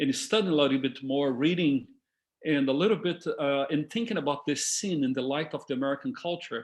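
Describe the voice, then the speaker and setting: A man talks at a fairly quick pace with a fairly high pitch. His pitch variation is ordinary and the background is quiet. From Brazil. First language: Portuguese. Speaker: discussion leader. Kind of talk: talk to a discussion group. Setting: video call. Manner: halting.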